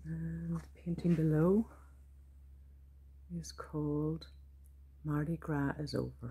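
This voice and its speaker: A woman with a Donegal Irish accent speaks at a very slow pace. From Donegal, Ireland. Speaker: visual artist and poet. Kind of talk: casual studio tour talk to camera. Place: workshop. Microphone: phone near.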